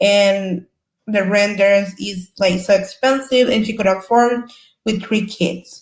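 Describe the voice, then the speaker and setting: A woman with a Salvadoran accent talks at a fairly slow pace. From El Salvador. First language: Spanish. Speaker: community service worker, former asylee. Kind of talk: panel discussion.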